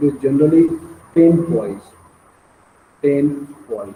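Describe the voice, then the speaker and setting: The man's voice is fairly high and somewhat breathy. He speaks at a fairly slow pace. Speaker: engineering lecturer. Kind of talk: lecture. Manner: repetitive, hesitant.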